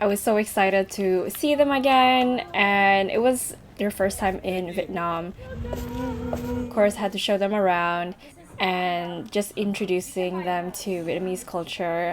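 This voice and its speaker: A woman at medium pitch talks at a fairly slow pace, with ordinary pitch variation. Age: 20s. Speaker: travel vlogger. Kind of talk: vlog voiceover narration.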